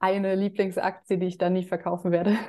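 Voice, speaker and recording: Speaking at a fairly quick pace, a woman has a dark, mellow tone at medium pitch with monotone, flat intonation. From Germany. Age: 30s. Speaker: finance influencer and dividend investor. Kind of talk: interview.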